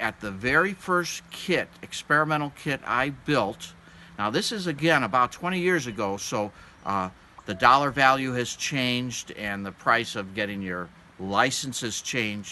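A man speaks at a fairly slow pace with a bright, sharp tone and very wide pitch swings, over light background noise. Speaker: aviation hobby instructor. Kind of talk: tutorial. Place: forest.

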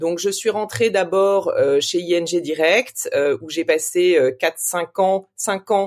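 A woman speaks at a very slow pace with hardly any pauses, her medium pitch moving with ordinary variation. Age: 40s. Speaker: investment fund operating partner. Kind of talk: interview. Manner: hesitant, many fillers.

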